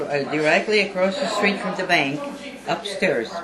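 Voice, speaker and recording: Speaking at a moderate pace with ordinary pitch variation, a woman with an American accent has a medium pitch, and the recording carries noticeable background noise and audible room echo. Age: 80s+. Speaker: eyewitness. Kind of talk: interview.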